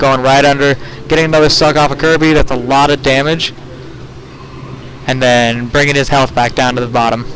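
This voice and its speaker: A man at a fairly quick pace and fairly high pitch, very even loudness, long and frequent pauses, noticeable background noise. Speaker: esports commentator. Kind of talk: live commentary. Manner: stutter; animated.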